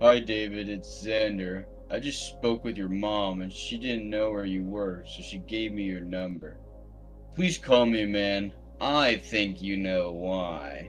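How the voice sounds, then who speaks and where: Over clear music in the background, a man uses a put-on character voice at a fairly low pitch and a fairly slow pace. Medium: read story.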